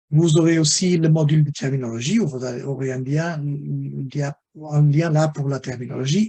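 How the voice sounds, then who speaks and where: Somewhat breathy, a man with a fairly high pitch has a dark, mellow tone. He keeps a moderate pace with ordinary pitch variation. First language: not French (speaking French). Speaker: webinar presenter on health data standards. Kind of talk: webinar lecture. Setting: online webinar. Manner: halting, many repetitions and fillers.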